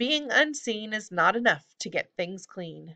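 A woman performs a put-on character voice, sing-song and fairly slow, with a bright, sharp tone. Her pitch sits medium for a woman but swings widely.

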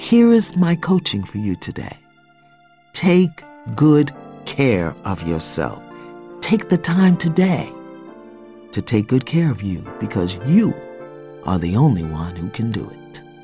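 Over background music, a woman with a very deep, low pitch speaks in a calm tone at a fairly slow pace, her pitch swinging very widely between long, frequent pauses. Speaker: spiritual coach. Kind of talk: guided spiritual affirmations. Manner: slow, calm.

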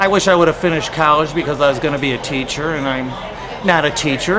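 Crowd noise fills the background. A man speaks over it with an American accent. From Chicago area, US. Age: 40s. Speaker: bartender. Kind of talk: street interview. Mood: relaxed, reminiscing. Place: bar. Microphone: phone near.

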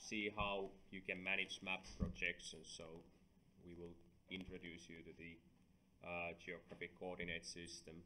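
Against light background noise, a man with a very deep, low pitch and a bright, sharp tone talks at a fairly slow pace in monotone, flat intonation. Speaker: university lecturer. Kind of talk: lecture.

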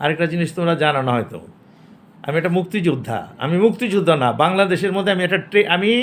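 A man's voice sits high in pitch and shows ordinary pitch variation. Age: 70s. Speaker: comedian, actor, war veteran. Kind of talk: casual interview.

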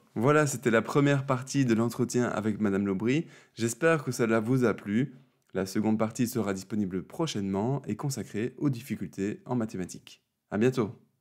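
A man with an unremarkable speaking voice talks at medium pitch. He keeps a moderate pace with ordinary pitch variation. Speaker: speech therapist and interviewer. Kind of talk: interview.

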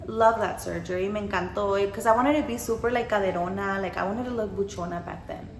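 A woman speaks very fast in an animated tone. Light background noise and audible room echo surround her. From Mexican-American, US. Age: 20s. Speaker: vlogger and post-op massage business owner; vlogger. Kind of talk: casual Q&A vlog. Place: home room.

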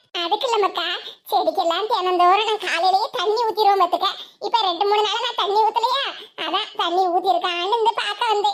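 A cartoonish character voice at a moderate pace, with fairly even intonation. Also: woman, extremely high pitch for a woman. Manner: affectionate, calls others 'makka'.

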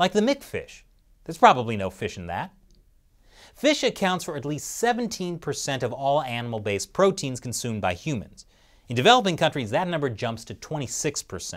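Against a quiet background, a man speaks at a moderate pace with vocal fry, very wide pitch swings and big swings in loudness. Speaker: show host. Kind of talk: scripted news commentary with jokes. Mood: wry, lightly humorous. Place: studio. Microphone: lapel.

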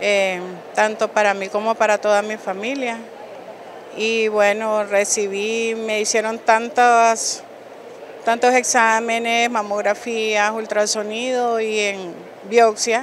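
A woman with a fairly high pitch speaks very slowly in a monotone, flat way, with dry sound, no echo and light background noise. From Nicaragua. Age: 40s. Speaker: breast cancer survivor. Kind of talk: testimony. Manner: hesitant. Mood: emotional, recounting diagnosis. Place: hall. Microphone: handheld.

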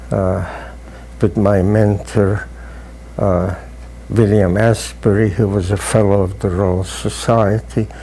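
Light background noise sits behind a man speaking very slowly with long, frequent pauses, his fairly low, dark and mellow voice carrying vocal fry. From Hungary. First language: Hungarian. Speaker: professor emeritus, biologist. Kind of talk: oral history interview. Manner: halting, with fillers. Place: office. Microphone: lapel.

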